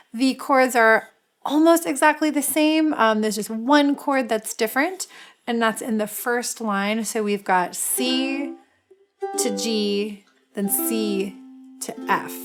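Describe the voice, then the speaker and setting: Over music in the background, a woman speaks at a very slow pace in a fairly high voice with lively intonation. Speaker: music teacher. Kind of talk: ukulele tutorial talk to camera.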